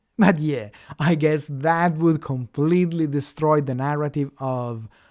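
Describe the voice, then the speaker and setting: Very slow speech in an Italian accent, on a very clean recording with a silent background. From Italy. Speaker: atheist commentator. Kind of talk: rebuttal commentary.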